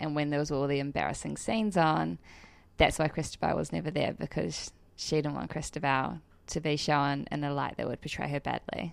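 A woman with a New Zealand accent and a very deep, low pitch, at a fairly quick pace with ordinary pitch variation, over a quiet background. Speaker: model and actress. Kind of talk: casual interview chat.

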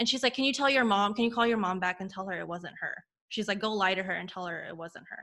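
Her tone bright and sharp, a woman speaks very fast at a medium pitch. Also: ordinary pitch variation, big swings in loudness. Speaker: former tennis player. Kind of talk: testimony. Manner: chatty.

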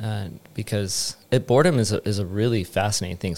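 Someone with an American accent talks at a fairly quick pace in an ordinary speaking voice. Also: man. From United States. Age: 40s. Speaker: yoga teacher. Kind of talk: casual interview chat. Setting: studio.

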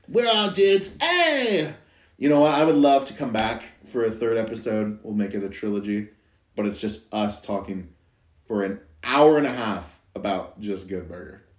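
A man's animated tone with lively intonation, big swings in loudness and a moderate pace. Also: medium pitch for a man. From Idaho. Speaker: podcast guest. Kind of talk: casual chat.

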